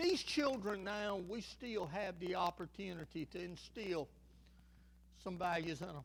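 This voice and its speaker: Speaking very slowly, a man with a Southern US accent talks. His intonation is lively. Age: 60s. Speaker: pastor. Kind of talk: sermon. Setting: church.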